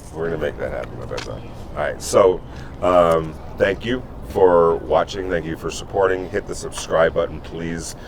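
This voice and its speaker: The speaker talks at a moderate pace in an American accent. Noticeable background noise is present. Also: man. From New York. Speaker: sports journalist and podcast co-host. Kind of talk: casual chat.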